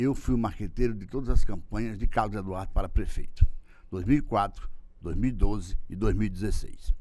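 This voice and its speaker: A voice with a dark, mellow tone shows ordinary pitch variation and big swings in loudness, with audible room echo. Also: man, fairly low pitch for a man, fairly quick pace. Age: 60s. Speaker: political marketing consultant. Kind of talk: interview. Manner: halting.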